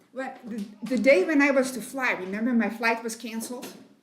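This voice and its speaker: Noticeable background noise and audible room echo surround the recording. A woman speaks at a high pitch with ordinary pitch variation. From Netherlands, Rotterdam. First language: Dutch. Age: 70s. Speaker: missionary. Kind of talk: testimony. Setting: women's meeting at church.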